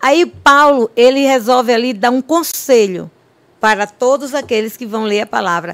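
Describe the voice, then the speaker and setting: A woman with a high pitch speaks at a very slow pace, her pitch swinging very widely. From Bahia backlands, northeast Brazil (Olindina). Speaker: pastor. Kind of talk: testimony.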